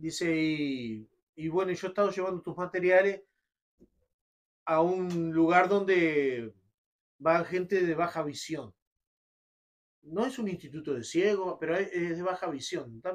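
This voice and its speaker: Fairly slow speech with an Uruguayan accent, ordinary pitch variation, and long, frequent pauses. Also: man, high pitch for a man. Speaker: radio announcer and poetry reciter. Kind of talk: interview answer.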